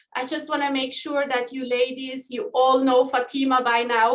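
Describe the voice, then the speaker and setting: A woman with a Swiss accent speaks in a high pitch. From Switzerland. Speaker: community manager. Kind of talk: online group call hosting.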